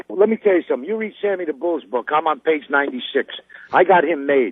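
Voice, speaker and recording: A man talks very fast in a New York accent. His pitch swings very widely. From New York, Brooklyn (Brownsville). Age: 60s. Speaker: caller. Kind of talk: phone-in call. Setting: phone call from a car.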